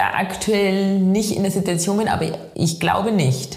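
A woman speaks with a Bavarian accent. Audible room echo and noticeable background noise are present. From Bavaria, Chiemgau (Inzell). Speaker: professional trail runner. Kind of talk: interview.

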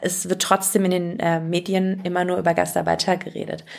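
Woman with a normal speaking voice at medium pitch and a fairly quick pace. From Germany, Turkish family. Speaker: actress and singer. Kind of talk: interview.

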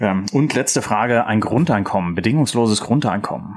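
Lively in intonation, a man of medium pitch talks at a moderate pace. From Rhineland, Germany. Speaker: podcast host, political scientist. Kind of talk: interview.

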